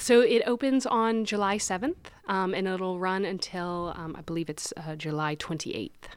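A woman's ordinary speaking voice at medium pitch, lively in intonation, moderate in pace, with hardly any pauses. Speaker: gallery director. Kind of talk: casual interview.

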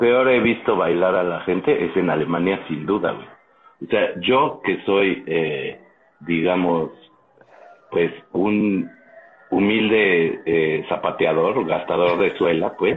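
This man talks very slowly while background noise is noticeable throughout. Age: 40s. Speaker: podcast co-host. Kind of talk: casual chat.

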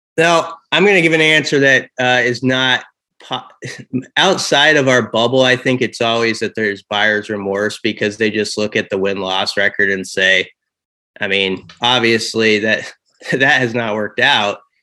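With a Midwestern American accent, a man speaks at a moderate pace in a bright, sharp tone. His medium pitch shows ordinary variation, on a very clean recording with a silent background. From Nebraska, Omaha. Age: 40s. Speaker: college football reporter. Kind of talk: casual interview.

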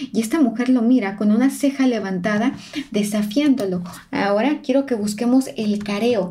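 A woman speaks at a fairly high pitch and a moderate pace, with ordinary pitch variation and very even loudness. It is an unremarkable speaking voice. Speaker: body language analyst and podcast host. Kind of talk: narrated analysis of interview footage.

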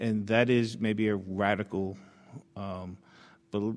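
The speaker is a man with an American accent. He uses fairly even intonation over a quiet background. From Brooklyn, New York. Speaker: district attorney. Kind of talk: panel interview answers. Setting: live event with audience. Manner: hesitant, filler-heavy.

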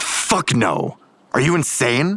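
A man puts on a character voice at a medium pitch with a fairly bright tone. He speaks at a slow pace, his pitch swinging widely.

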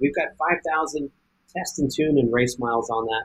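A man with an American accent, fairly high-pitched and somewhat breathy, at a moderate pace. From US West. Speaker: off-road racer. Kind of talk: casual interview.

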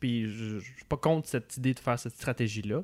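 A man's plain, everyday voice at a moderate pace with ordinary pitch variation, in a dry, close sound with no echo and a very clean recording with a silent background. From Quebec City, Quebec. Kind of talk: casual political chat.

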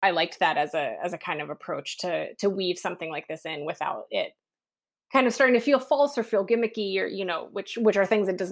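A woman talks at a very fast pace in an American accent, at medium pitch with lively intonation and big swings in loudness. The recording is very clean, with a silent background. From West Virginia. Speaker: podcast host. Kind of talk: interview conversation. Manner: halting, many fillers.

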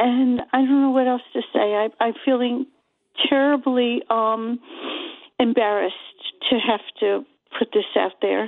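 Speaking in an American accent at a fairly slow pace, a woman with a high pitch keeps her intonation fairly even and her loudness very even, leaving long, frequent pauses. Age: 70s. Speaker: caller. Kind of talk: casual chat. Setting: phone call.

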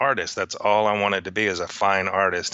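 At a moderate pace, a man speaks with a Texan accent in a flat, monotone way. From Texas. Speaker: neon sign artist. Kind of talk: interview.

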